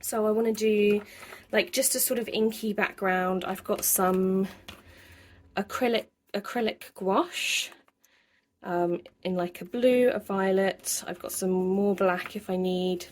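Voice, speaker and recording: A woman with a British accent, medium-pitched, with fairly even intonation, a fairly slow pace and long, frequent pauses. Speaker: journaling vlogger. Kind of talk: craft tutorial voiceover. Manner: casual, hesitant with fillers.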